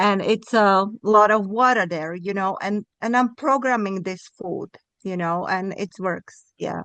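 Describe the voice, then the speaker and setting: A woman speaks at a fairly slow pace with a non-native accent. Her tone is bright and sharp. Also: medium pitch for a woman, ordinary pitch variation. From Europe. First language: not English, European language. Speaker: participant in online group. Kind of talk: casual group chat. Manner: halting.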